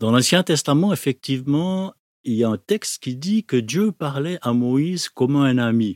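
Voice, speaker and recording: At a fairly slow pace, a normal speaking voice with lively intonation comes through in a very clean recording, with a silent background and a dry, close sound with no echo. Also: man, fairly high pitch for a man. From Switzerland, Neuchâtel. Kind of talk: testimony.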